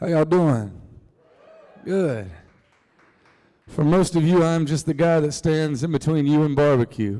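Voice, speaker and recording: A man with an American accent, fairly high pitch, ordinary pitch variation, a fairly slow pace, and long, frequent pauses. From US South, North Carolina Piedmont (Reidsville). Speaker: singer-songwriter. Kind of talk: storytelling talk to a live audience. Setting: stage with audience. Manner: casual, joking.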